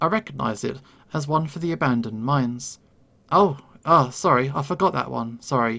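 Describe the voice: The recording features plain reading aloud.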